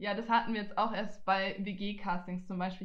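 A woman speaks in a flat monotone. Audible room echo and noticeable background noise fill the recording. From Franconia, Germany (Nuremberg). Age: 20s. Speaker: student podcaster. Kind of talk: casual chat.

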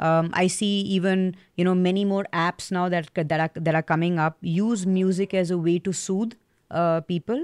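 In a plain, everyday voice, a woman speaks at a moderate pace and a medium pitch, with fairly even intonation and very even loudness, on a very clean recording with a silent background and a dry, close sound with no echo. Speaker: podcast interviewer. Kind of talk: casual interview chat.

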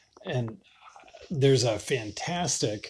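A man with a somewhat breathy voice speaks against a quiet background. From Western Massachusetts. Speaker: podcast host. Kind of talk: casual monologue. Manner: halting, many fillers.

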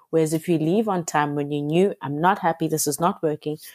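A woman with a dark, mellow tone is heard on a very clean recording with a silent background, the sound dry and close with no echo. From South Africa, Cape Town. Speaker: magazine editor. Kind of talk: interview. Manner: hesitant, many fillers.

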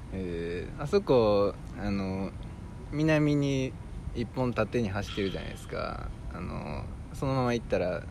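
In a Kansai accent, the speaker goes at a fairly slow pace with lively intonation and big swings in loudness, with audible room echo. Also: man, medium pitch for a man. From Amagasaki, Hyogo (Kansai). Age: 30s. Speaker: podcast co-host. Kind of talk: casual chat. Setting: outdoors in a park.

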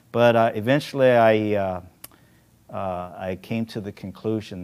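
The man's pitch is fairly low. It varies in an ordinary way. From Korean-American, raised in the US. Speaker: adventurer and diver. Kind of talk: storytelling interview. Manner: halting, many fillers.

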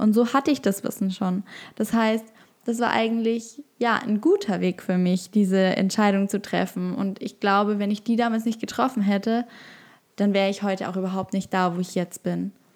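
A woman with a plain, everyday voice speaks at a moderate pace. Her pitch is medium and her intonation fairly even. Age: 20s. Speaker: podcast host and yoga teacher. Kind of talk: solo podcast monologue.

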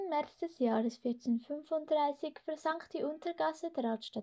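Speaking at a very slow pace, a woman has a high pitch, a dark, mellow tone and ordinary pitch variation. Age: 20s. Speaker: youth group leader. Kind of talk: reading aloud.

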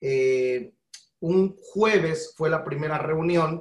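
Pitched fairly high, a man speaks at a very slow pace. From Guatemala. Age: 40s. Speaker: pastor. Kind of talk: interview.

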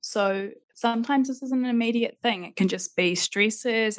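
Speaking fairly quickly, this woman lets her pitch rise and fall in an ordinary way. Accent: New Zealand. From Christchurch, New Zealand. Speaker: life coach and NLP practitioner. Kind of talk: interview conversation.

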